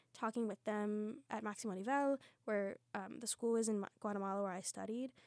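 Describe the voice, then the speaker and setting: A woman with an American accent talks in an animated tone at a fairly high pitch, with ordinary pitch variation and a dry, close sound free of echo. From Lancaster County, Pennsylvania. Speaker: musical theatre student. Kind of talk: casual chat. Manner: animated, giggly.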